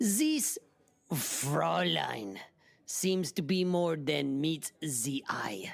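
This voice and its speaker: This put-on character voice moves at a very slow pace with very even loudness. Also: man, fairly high pitch for a man. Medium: audio drama. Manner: clipped, stern.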